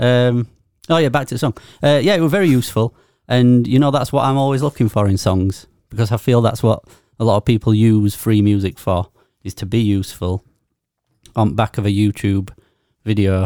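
A man with a Yorkshire accent at medium pitch, fairly quick pace broken by long, frequent pauses, dry, close sound with no echo, and a very clean recording with a silent background. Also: ordinary pitch variation. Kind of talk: casual chat. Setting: studio.

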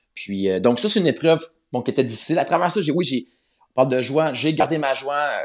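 A man speaks very fast with lively intonation and a fairly high pitch. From Quebec, north shore of Montreal. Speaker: Bible narrator. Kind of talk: interview. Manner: halting, frequent repetitions.

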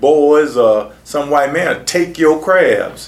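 A man's fairly high voice against noticeable background noise. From Sarasota, Florida. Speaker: community activist and former city commissioner. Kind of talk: oral history interview.

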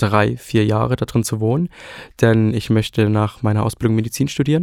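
An unremarkable speaking voice moves at a fairly quick pace. The sound is dry and close with no echo, on a very clean recording with a silent background. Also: man. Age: 20s. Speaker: trainee and amateur singer. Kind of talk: casual chat.

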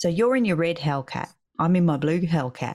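With an Australian accent, a woman speaks in a very deep, low voice at a moderate pace. Her tone is animated and her intonation lively. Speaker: podcast co-host, business owner. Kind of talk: casual chat. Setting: video call.

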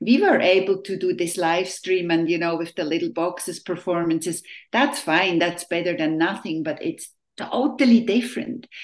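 At a moderate pace, a woman speaks with a non-native accent. Her pitch is fairly low, and her intonation is lively. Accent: non-Southern, foreign. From Switzerland. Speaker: orchestra conductor. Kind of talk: interview.

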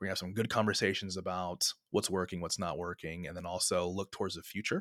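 A man with an American accent speaks very fast in a very deep, low voice, his delivery monotone and flat, the sound dry and close with no echo on a very clean recording with a silent background. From US West Coast, San Francisco Bay Area. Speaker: social impact community founder. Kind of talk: interview conversation.

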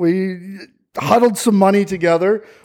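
Here a man talks with a Canadian accent. He keeps a moderate pace and ordinary pitch variation. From Ontario, Canada. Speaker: real estate agent. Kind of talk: interview.

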